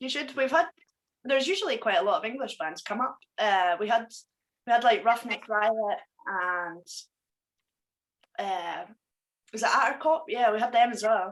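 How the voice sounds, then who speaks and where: A woman talks with a strong Scottish accent and a fairly high pitch. Her intonation is lively, broken by long, frequent pauses. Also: moderate pace. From Scotland. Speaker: punk musician. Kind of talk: casual interview.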